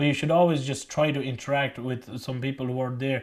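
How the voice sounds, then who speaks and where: Someone with a Mayo accent talks at a fairly quick pace. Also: man. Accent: Irish, County Mayo. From Pakistan. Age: 20s. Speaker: college student. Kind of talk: interview answer.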